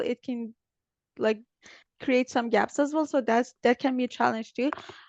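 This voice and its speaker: A woman with a non-native accent speaks at a high pitch against a quiet background. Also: dry, close sound with no echo. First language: not English. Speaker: business development specialist in biotech. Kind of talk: interview. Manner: hesitant, many fillers.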